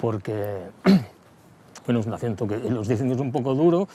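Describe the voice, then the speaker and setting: This man talks at a very fast pace in a western Catalan accent. His tone is dark and mellow, and his intonation lively. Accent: western Catalan (Lleida). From Lleida, Catalonia. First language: Catalan (speaking Spanish). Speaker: singer-songwriter. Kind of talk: interview. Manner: halting, with many repetitions.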